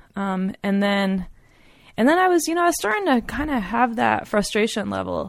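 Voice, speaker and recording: On a very clean recording with a silent background, someone speaks at a moderate pace. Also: woman. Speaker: rock climber and BASE jumper. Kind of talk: casual chat. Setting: at home. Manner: quiet.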